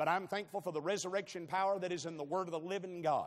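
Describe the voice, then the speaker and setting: At a fairly quick pace, a man with a high pitch speaks in an animated tone against a quiet background. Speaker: traveling preacher. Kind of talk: sermon. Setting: church. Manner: animated, call-and-response with the congregation, punchy and jokey. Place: church.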